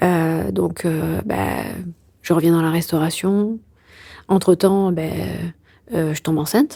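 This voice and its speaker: Her pitch is fairly low. This woman's tone comes across as dark and mellow. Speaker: endometriosis patient and filmmaker. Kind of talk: interview answer. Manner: joking, casual.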